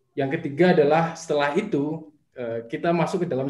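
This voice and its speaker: A man speaks fairly quickly in a somewhat breathy voice with ordinary pitch variation. Audible room echo sits over a quiet background. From Batu, Malang, East Java, Indonesia; East Java, Indonesia. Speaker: small business founder; guest. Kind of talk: interview. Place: home room. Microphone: video call.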